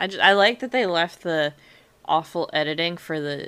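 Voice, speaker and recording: At a moderate pace, a woman speaks in a bright, sharp tone with fairly low pitch and ordinary pitch variation. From US. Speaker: podcast co-host. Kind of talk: casual chat.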